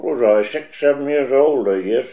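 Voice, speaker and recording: A man talks at a moderate pace with a coastal Maine accent. His tone is dark and mellow, and his intonation is lively. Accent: Maine coastal New England. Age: 80s+. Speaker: retired fisherman. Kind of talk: oral history interview.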